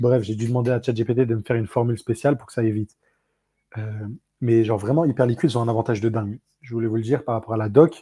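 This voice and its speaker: On a very clean recording with a silent background, a man talks very fast in a somewhat breathy, dark, mellow voice at a medium pitch. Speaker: crypto podcast host. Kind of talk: casual podcast explainer. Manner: animated.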